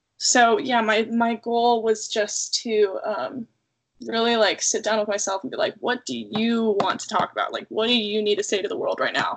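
A woman with an unremarkable speaking voice talks at a fairly high pitch and moderate pace, with ordinary pitch variation. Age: 20s. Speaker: singer-songwriter. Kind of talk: casual interview chat.

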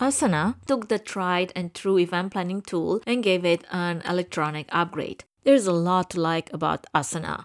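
A woman speaks with a fairly low pitch and ordinary pitch variation. The sound is dry and close, with no echo. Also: moderate pace, hardly any pauses, very clean recording, silent background. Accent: Romanian. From Romania. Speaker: podcast host, event production company owner. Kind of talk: scripted podcast monologue.

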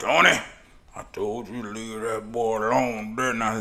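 Using a put-on character voice at medium pitch, a man talks at a moderate pace with audible echo. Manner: stern but not mean.

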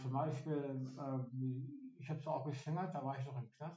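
Monotone and flat, this man's voice sits at a fairly high pitch. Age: 50s. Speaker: day center client. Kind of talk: casual chat.

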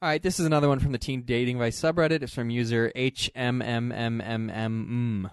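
An ordinary speaking voice runs at a fairly quick pace with hardly any pauses and ordinary pitch variation. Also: man, medium pitch for a man. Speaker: podcast host. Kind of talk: casual banter between co-hosts. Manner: joking, playful.

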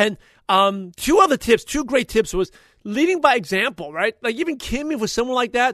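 A man speaks at an extremely high pitch with big pitch swings. His tone is fairly bright and passionate. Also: moderate pace.

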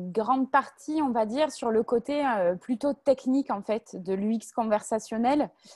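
A woman with a strong southern French accent speaks very slowly in a dark, mellow tone at a fairly high pitch. Her pitch varies in an ordinary way, on a very clean recording with a silent background. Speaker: volunteer moderator. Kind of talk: moderating a panel. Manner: hesitant with many fillers.

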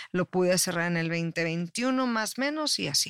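In a Mexican accent, a woman speaks at medium pitch with lively intonation. The sound is dry and close, with no echo. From Mexico. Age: 50s. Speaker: life coach and public relations expert. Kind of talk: casual interview chat.

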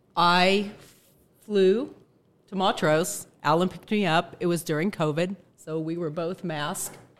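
A woman with a fairly low pitch speaks at a fairly slow pace, using fairly even intonation and long, frequent pauses. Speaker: daughter of guest. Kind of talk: casual storytelling.

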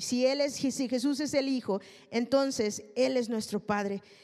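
At a fairly slow pace, a woman talks in a high voice with an animated tone. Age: 30s. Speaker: preacher. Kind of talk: sermon.

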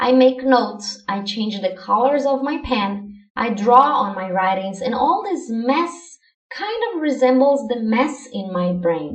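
In a Portuguese accent, a woman with a high pitch talks at a fairly slow pace amid audible room echo. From Brazil. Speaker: language learning podcaster. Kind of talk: scripted educational monologue.

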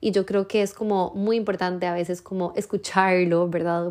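A woman speaks at medium pitch. Her intonation is monotone and flat. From Costa Rica. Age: 30s. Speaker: podcast host. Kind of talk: casual monologue.

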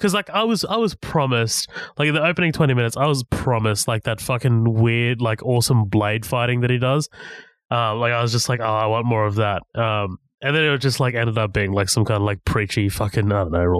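An unremarkable speaking voice with ordinary pitch variation and very even loudness goes at a fairly quick pace. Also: man, medium pitch for a man. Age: 20s. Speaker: film podcast guest. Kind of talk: casual chat.

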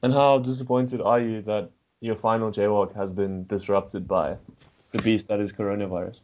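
The intonation stays fairly even. It is a normal speaking voice. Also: man, fairly low pitch for a man. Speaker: podcast co-host. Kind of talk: casual chat.

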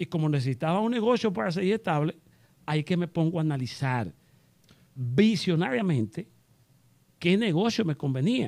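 A man's high voice with lively intonation and long, frequent pauses. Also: moderate pace. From Dominican Republic, Constanza. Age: 50s. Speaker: real estate developer. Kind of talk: interview.

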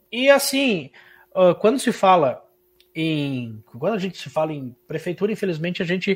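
A high-pitched man with very wide pitch swings, big swings in loudness, a moderate pace and long, frequent pauses. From Santa Catarina, Brazil (Irani). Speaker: musician and radio host. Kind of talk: interview.

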